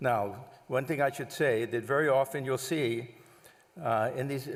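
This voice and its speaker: A man with an American accent speaks in a normal speaking voice at a medium pitch. His pace is moderate, with ordinary pitch variation. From US Northeast, Long Island area. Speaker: monk giving a talk. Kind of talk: lecture.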